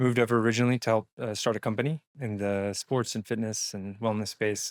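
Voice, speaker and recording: Someone with a Texan accent is heard in a dry, close sound with no echo and a very clean recording over a silent background. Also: man. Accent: Texan American English. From Texas. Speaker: entrepreneur and investment strategist. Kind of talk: podcast interview.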